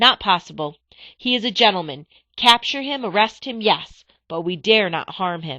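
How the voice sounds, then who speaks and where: A female-sounding put-on character voice rings out raised and projected at a middle pitch. It moves at a moderate pace. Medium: read story.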